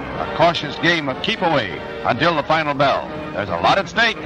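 Clear music plays behind a man speaking at a moderate pace, with a dry sound and no echo. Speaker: newsreel narrator. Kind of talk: vintage newsreel narration. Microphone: old recording.

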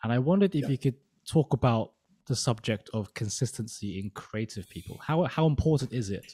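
A man's somewhat breathy, dark, mellow voice at a fairly quick pace, with lively intonation over light background noise. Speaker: podcast host. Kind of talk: interview. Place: home room. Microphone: studio mic.

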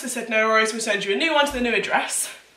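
A woman speaks in a raised, projected voice with ordinary pitch variation. Room echo can be heard. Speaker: baking vlogger. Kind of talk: casual vlog chat. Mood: exasperated, amused storytelling. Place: kitchen. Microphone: camera far.

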